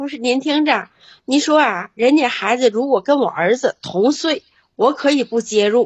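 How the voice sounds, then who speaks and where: Using lively intonation, a woman talks at a moderate pace in a high pitch. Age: 60s. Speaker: caller. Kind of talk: call-in advice chat.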